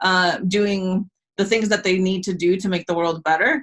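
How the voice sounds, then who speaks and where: A woman speaks at a medium pitch with a slight Latin American accent. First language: Spanish. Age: 30s. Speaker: business coach. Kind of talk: casual interview.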